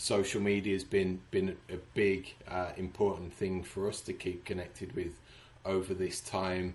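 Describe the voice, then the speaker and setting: A man's very deep, low voice, monotone and flat, at a fairly slow pace. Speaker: supporters club founder and podcaster. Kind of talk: casual interview chat.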